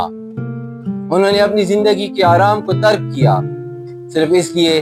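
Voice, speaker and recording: Music plays in the background as a man speaks. His pitch swings very widely. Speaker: professional voice-over artist and storyteller. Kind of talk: documentary historical narration. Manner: emotive, dramatic.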